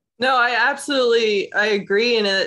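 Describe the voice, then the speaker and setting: The delivery comes at a moderate pace with lively intonation. It is a normal speaking voice. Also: woman. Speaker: podcast host. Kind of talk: interview.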